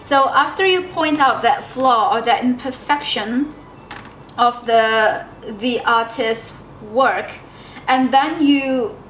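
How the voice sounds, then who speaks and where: A woman with a non-native accent speaks in a high pitch, her tone relaxed and her intonation lively. Music plays in the background, and the room gives an audible echo. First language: not English. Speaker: artist YouTuber. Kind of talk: casual chat while painting. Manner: relaxed, hesitant with fillers.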